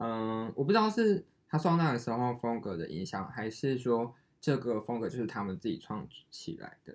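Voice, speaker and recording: With a normal speaking voice and lively intonation, a man talks at a moderate pace and a medium pitch. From Taiwan. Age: 20s. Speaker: podcast co-host, designer. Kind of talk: casual chat.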